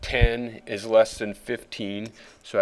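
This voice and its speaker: On a very clean recording with a silent background, a man with an unremarkable speaking voice talks at a fairly slow pace and a medium pitch. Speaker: fifth grade teacher. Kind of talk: tutorial.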